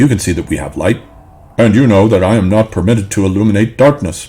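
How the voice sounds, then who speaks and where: A man talks at a very fast pace in a fairly low voice. He is doing a put-on character voice. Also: ordinary pitch variation. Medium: read story.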